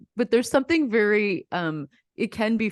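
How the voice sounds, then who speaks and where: The sound is dry and close with no echo, over a quiet background. A woman speaks with lively intonation. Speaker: comedian. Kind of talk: casual chat.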